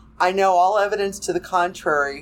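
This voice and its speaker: Using an ordinary speaking voice, a woman talks at a moderate pace and a medium pitch with ordinary pitch variation. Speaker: fan writer. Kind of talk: casual chat.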